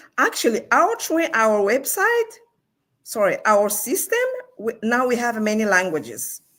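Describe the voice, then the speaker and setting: A woman with a non-native accent, high in pitch, with very wide pitch swings, a fairly slow pace, and long, frequent pauses. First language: not English. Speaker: online business partner. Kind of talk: live stream talk.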